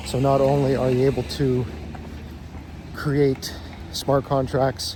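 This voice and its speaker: Intonation stays fairly even while noticeable background noise runs underneath. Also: man. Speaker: crypto YouTuber. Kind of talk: casual explainer monologue. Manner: monotone; hesitant with fillers.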